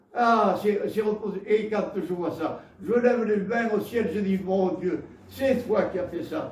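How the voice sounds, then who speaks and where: A man with a southwestern French accent speaks at a very slow pace, his pitch high and its variation ordinary. Noticeable background noise and audible room echo fill the recording. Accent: Gascon. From Gascony, southwest France. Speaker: preacher. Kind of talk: sermon. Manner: halting, with repetitions.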